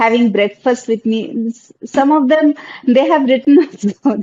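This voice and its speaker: A high-pitched woman's voice with a Bengali accent, fairly slow in pace, with ordinary pitch variation and a dry, close sound with no echo. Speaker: wildlife content creator. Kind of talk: panel discussion.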